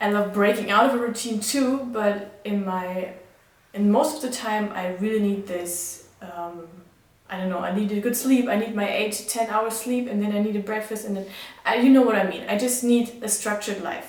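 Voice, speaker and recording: A woman with a German accent speaks with fairly even intonation, along with noticeable background noise and audible room echo. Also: fairly high pitch for a woman, moderate pace. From Germany. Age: 20s. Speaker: vlogger and midwife student. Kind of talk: casual vlog talk. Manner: halting, many fillers.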